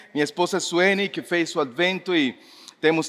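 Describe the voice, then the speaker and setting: A man with a high pitch and ordinary pitch variation, at a moderate pace. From Mexico. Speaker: pastor. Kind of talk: sermon. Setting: church service with congregation.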